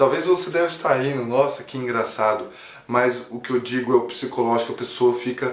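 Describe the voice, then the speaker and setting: A man with a medium-pitched voice talks with fairly even intonation, with noticeable background noise behind him. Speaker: comedy YouTuber. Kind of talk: personal testimony to camera. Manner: halting.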